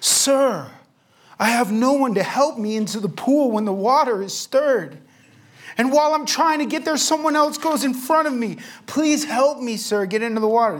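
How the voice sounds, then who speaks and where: In a put-on character voice, someone speaks at a moderate pace with a whiny, fairly high pitch and lively intonation. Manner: whining, pleading.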